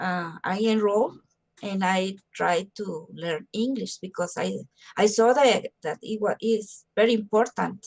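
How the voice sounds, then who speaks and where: With a Spanish accent, a woman of medium pitch speaks at a fairly slow pace with ordinary pitch variation in a dry, close sound with no echo. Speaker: mental health promoter. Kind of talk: interview. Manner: halting.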